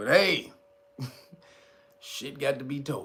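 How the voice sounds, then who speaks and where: An animated tone comes through noticeable background noise and audible room echo. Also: man. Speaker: livestream news commentator. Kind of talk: casual livestream chat. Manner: animated, casual.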